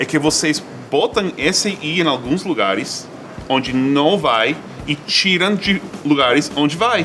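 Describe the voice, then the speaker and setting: Lively intonation from a man with a fairly high pitch, very even loudness and a fairly slow pace, against noticeable background noise. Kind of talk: casual talk to camera.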